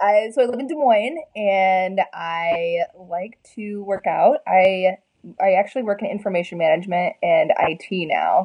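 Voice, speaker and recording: With an American accent, a woman in a normal speaking voice talks at a fairly slow pace, her pitch medium and her pitch variation ordinary. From Minnesota. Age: 20s. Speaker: bodybuilder. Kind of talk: casual chat.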